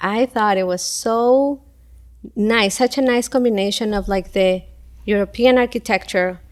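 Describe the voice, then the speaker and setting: A woman with a Spanish accent talks with ordinary pitch variation on a very clean recording with a silent background. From Ecuador (Quito). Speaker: school event coordinator and parent. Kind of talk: casual interview chat.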